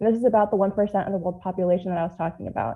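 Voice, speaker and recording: Her medium-pitched voice shows ordinary pitch variation as the woman talks. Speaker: presenter of a research study. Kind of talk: informal presentation to an audience. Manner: stutters, with word and syllable repetitions; self-corrects stumbles mid-phrase.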